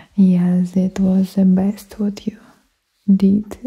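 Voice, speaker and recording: A soft-spoken woman against a quiet background. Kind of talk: roleplay monologue to viewer. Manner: soft-spoken, intimate ASMR voice. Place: home room. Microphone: studio mic.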